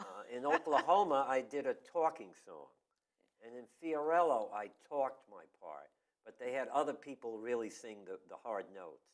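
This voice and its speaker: With an American accent, a man talks at a moderate pace in a fairly high voice, using ordinary pitch variation and an unremarkable speaking voice. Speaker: town crier and local historian, former community theater actor. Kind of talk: interview answer.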